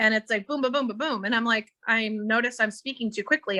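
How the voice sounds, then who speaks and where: A woman's voice sits at a fairly high pitch with a bright, sharp tone and ordinary pitch variation. The sound is dry and close with no echo, and the background is quiet. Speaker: psychic medium. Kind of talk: psychic reading in a live online meeting. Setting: video call. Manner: animated.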